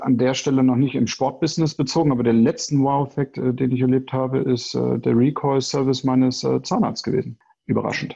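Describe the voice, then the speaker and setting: With a dark, mellow tone at medium pitch, a man speaks fairly quickly with hardly any pauses, very even loudness and monotone, flat intonation. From Hannover, northern Germany. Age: 30s. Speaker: sports business consultant. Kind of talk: interview. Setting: remote recording.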